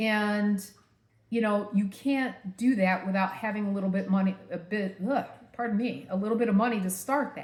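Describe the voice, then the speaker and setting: A woman talks at a moderate pace, somewhat breathy and medium in pitch, with fairly even intonation. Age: 50s. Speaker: vlogger. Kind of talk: personal vlog. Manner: casual, filler-heavy.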